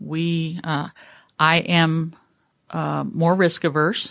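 Someone speaks with an American accent on a very clean recording against a silent background. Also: woman. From Northern California. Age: 60s. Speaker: business CEO. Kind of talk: casual interview. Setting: studio.

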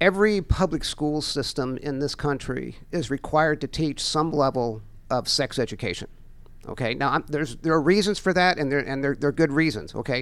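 Man with an American accent, a normal speaking voice, fairly high pitch with ordinary variation, and a fairly quick pace on a very clean recording with a silent background. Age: 60s. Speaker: financial educator. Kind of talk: radio interview. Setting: studio.

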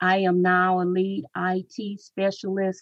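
This woman's voice sits at a medium pitch and comes across somewhat breathy. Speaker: Toastmasters club leader. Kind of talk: interview answers. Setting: radio studio.

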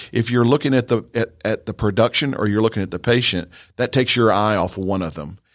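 A very fast-talking man with a medium pitch, ordinary pitch variation and an American accent, in a very clean recording with a silent background and a dry, close sound with no echo. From north Georgia, US South. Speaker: dentist. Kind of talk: radio interview.

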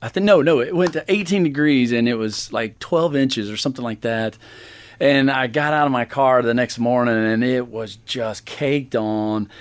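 Using an ordinary speaking voice, a man with an American accent talks at a moderate pace with medium pitch and ordinary pitch variation. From Georgia (US). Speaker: winery owner. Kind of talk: interview.

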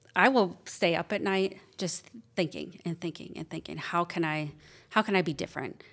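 A woman with a Midwestern US accent talks at a moderate pace in a fairly low pitch, using ordinary pitch variation and long, frequent pauses. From Wisconsin, US Midwest. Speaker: business owner. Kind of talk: interview, casual chat. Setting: studio.

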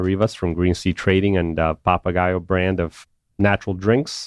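A man at a fairly low pitch and moderate pace, in a dry, close sound with no echo and a quiet background. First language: not English. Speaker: radio host, business consultant. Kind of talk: interview. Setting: radio studio.

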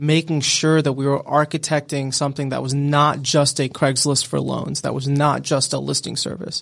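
A man talks at a moderate pace with fairly even intonation. The recording is very clean, the background silent. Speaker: startup founder and CEO. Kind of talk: casual interview. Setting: studio.

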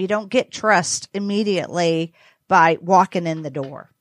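With an American accent and a plain, everyday voice, a woman speaks at medium pitch and a fairly slow pace with ordinary pitch variation, in a very clean recording with a silent background and a dry, close sound with no echo. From US South. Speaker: business owner. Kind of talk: panel interview.

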